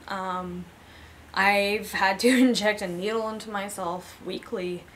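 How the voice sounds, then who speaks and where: A woman speaks at a very slow pace with fairly even intonation. Light background noise can be heard. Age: 30s. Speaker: person living with chronic illness; interviewee. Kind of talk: personal testimony interview. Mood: candid, reflective. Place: home room.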